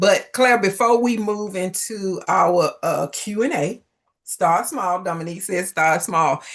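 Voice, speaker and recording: In a Southern US accent, a woman with a medium pitch speaks in an animated tone at a fairly slow pace. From US South. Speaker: business coach and livestream host. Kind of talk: live interview. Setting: livestream.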